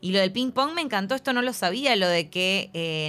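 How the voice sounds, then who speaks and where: Using an ordinary speaking voice, a woman talks at medium pitch and a moderate pace with ordinary pitch variation. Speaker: film podcast host. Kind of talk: casual chat.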